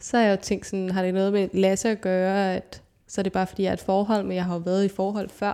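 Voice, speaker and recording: A woman's medium-pitched voice, dark and mellow in tone, at a fairly quick pace, in a very clean recording with a silent background. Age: 20s. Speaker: consultant. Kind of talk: casual chat.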